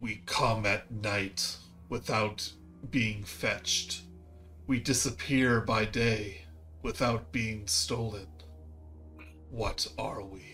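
Over clear music in the background, a man puts on a gravelly character voice at a medium pitch, talking very slowly with long, frequent pauses. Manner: eerie, ominous.

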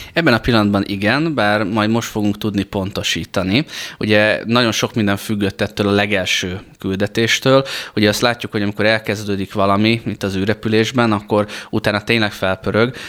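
A man speaks in a normal speaking voice at a fairly low pitch and a moderate pace. His intonation is fairly even, and the recording is very clean with a silent background. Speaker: flight instructor and space program training lead. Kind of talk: radio interview. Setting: studio.

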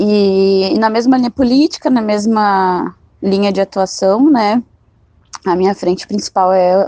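A woman's tone is dark and mellow, with ordinary pitch variation. The sound is dry and close, without echo. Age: 20s. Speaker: city council candidate. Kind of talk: interview.

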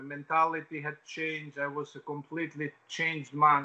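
This man has an Albanian accent and a fairly high pitch with a bright, sharp tone. His fairly slow delivery is monotone and flat. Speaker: former footballer. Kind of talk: interview. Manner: halting.

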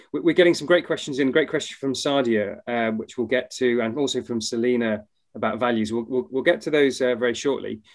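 A man with an ordinary speaking voice, medium pitch and ordinary pitch variation, talking at a fairly quick pace with hardly any pauses. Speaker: co-host. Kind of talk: casual interview.

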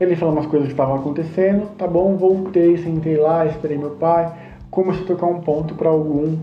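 Noticeable background noise and audible room echo surround a man speaking at a fairly quick pace. His pitch is high and his intonation monotone and flat. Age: 30s. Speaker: Umbanda priest and podcast host. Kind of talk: personal storytelling monologue. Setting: home bedroom. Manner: talkative.

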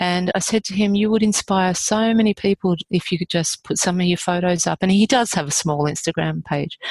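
A woman talks at a fairly quick pace in an Australian accent, with hardly any pauses. Her pitch is medium, and the sound is dry and close with no echo. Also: fairly even intonation. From Australia, rural New South Wales. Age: 50s. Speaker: author. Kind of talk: casual chat.

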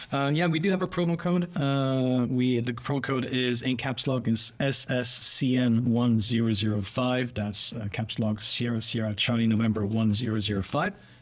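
A man talks at a medium pitch with hardly any pauses and very even loudness. There is noticeable noise in the background. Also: ordinary pitch variation, moderate pace. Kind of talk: casual interview. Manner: humble, hesitant with fillers.

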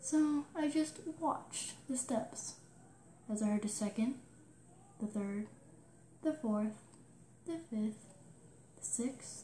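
Noticeable background noise surrounds a woman speaking at a very slow pace with long, frequent pauses. Her fairly high voice carries lively intonation. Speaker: storyteller recounting a childhood experience. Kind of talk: ghost story telling, personal spooky tale told as a real experience. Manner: hushed, slow suspenseful build, halting with dramatic pauses; earnest and matter-of-fact, eerie.

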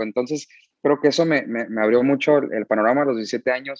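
Over a quiet background with a dry, close sound and no echo, a man with a normal speaking voice and medium pitch shows ordinary pitch variation. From US, San Diego, California. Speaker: musician. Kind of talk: casual chat.

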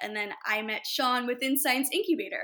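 A woman's bright, sharp tone comes through a very clean recording with a silent background. She speaks at a moderate pace with ordinary pitch variation. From Los Angeles, California. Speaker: startup founder and CEO. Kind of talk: interview.

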